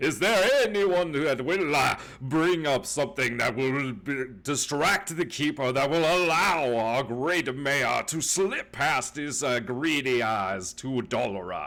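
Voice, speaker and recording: Putting on a character voice, a man speaks fairly slowly with a fairly high pitch and lively intonation. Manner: sermonizing, rhetorical.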